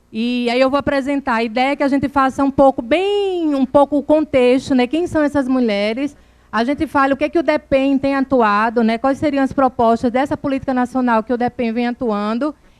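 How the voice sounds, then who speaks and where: Here a woman talks in a high-pitched voice with hardly any pauses. The sound is dry and close, with no echo. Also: ordinary pitch variation, moderate pace. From Brazil, Northeast (Alagoas). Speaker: government program coordinator. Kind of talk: conference talk. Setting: conference with audience. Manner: informal, conversational.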